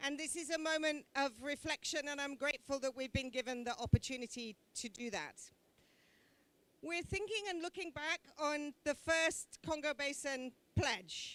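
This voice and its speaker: With a British accent, a woman speaks loudly at a high pitch with ordinary pitch variation, in a dry, close sound with no echo. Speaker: government envoy. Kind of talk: conference speech. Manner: slow.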